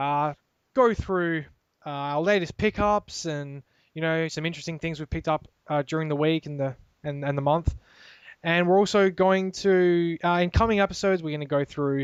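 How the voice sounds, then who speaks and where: A man's fairly high voice with an Australian accent at a moderate pace, dry and close with no echo over a quiet background. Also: ordinary pitch variation. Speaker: gaming podcast host. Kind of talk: casual chat. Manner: halting.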